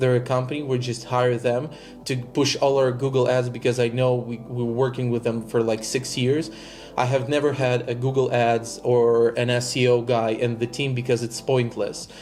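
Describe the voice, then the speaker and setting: Music plays behind a man talking at a moderate pace in a medium pitch. His intonation stays monotone and flat. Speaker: digital marketing agency owner. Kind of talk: coaching session.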